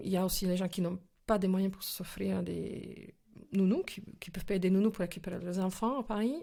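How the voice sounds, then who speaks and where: Vocal fry colors the speech, which moves at a moderate pace. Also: woman. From former Czechoslovakia. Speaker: actress and film director. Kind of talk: interview answer. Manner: energetic, passionate.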